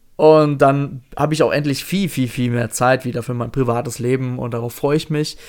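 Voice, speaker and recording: In a normal speaking voice, a man talks at medium pitch, his pitch varying in an ordinary way. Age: 30s. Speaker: podcast host. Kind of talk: casual chat.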